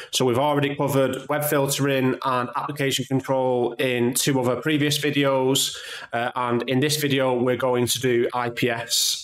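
With very even loudness and monotone, flat intonation, a man talks with hardly any pauses amid audible room echo. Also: moderate pace. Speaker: tech channel host. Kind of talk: tutorial.

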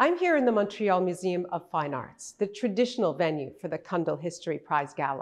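The woman's pitch varies in an ordinary way as she talks at a moderate pace against a quiet background. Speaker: event host. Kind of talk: ceremony hosting address. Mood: warm, welcoming. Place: hall.

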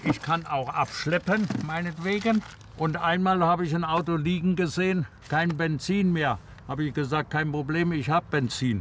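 At a moderate pace and with ordinary pitch variation, the speech sounds dry with no echo, under light background noise. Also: man, high pitch for a man. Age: 70s. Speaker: former baker. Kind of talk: interview answer. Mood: cheerful, storytelling. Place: street.

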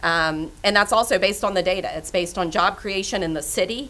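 Her intonation stays fairly even as the woman talks. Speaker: panel moderator. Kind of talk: panel discussion. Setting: stage with audience. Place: meeting room. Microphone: podium.

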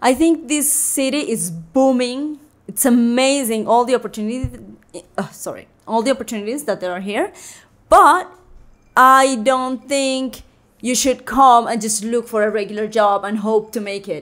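Speaking at a moderate pace, a woman with a Colombian accent uses a high pitch and ordinary pitch variation. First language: Spanish. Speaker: photographer. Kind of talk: casual chat. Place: studio. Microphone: studio mic.

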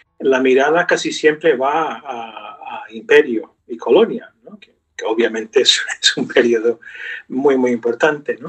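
Against a quiet background, a man speaks at a fairly slow pace with big swings in loudness. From US, New York (Brooklyn); New York. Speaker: professor of Spanish literature. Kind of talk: interview. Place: home room. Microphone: webcam.

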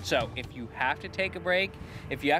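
A man's voice sounds dry, with no echo. Noticeable background noise can be heard. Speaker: TV show host. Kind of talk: TV presenter summary to camera. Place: open country. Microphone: lapel.

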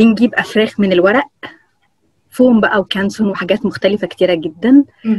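A woman's fairly high pitch with ordinary pitch variation, dry sound with no echo, quiet background. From Egypt. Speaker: paper craft artist; guest. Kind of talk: interview. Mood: cheerful, smiling. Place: home room. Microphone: video call.

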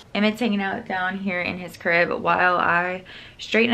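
A woman at a fairly quick pace, her intonation fairly even. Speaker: parent vlogger. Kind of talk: casual vlog chat. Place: home room. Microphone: phone near.

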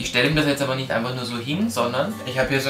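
A man's voice with ordinary pitch variation, faint music in the background. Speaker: dog trainer. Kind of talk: tutorial. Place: home room.

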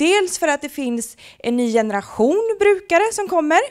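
A woman speaks with a Gothenburg accent and very wide pitch swings. The background is quiet. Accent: Gothenburg west coast dialect. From western Sweden, Gothenburg; Sweden. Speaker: project presenter; presenter. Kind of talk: short presentation to an audience. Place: meeting room. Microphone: handheld.

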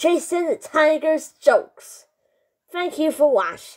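Putting on a cartoonish character voice, a man talks at an extremely high pitch and a fairly slow pace. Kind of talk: comedy bit, jokes to camera. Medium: puppet.

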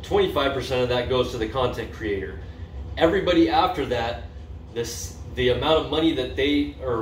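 A man is speaking in a room with audible echo. Light noise can be heard behind him. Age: 40s. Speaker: vlogger; community video creator. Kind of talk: casual vlog monologue; casual vlog chat. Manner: halting, many fillers. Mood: upbeat, enthusiastic. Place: home room. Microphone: phone near.

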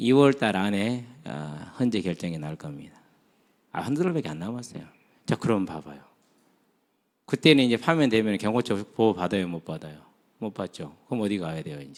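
A man's fairly low voice at a moderate pace, with very wide pitch swings, big swings in loudness, and long, frequent pauses. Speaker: pastor. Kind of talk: sermon. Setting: church retreat. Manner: conversational, many rhetorical questions.

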